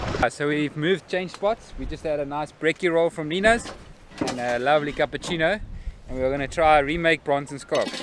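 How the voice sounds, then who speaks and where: The speech is very fast, with ordinary pitch variation. The sound is dry with no echo, and the background noise is noticeable. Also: man. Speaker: fishing guide vlogger. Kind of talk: casual vlog chat. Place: beach. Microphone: phone near.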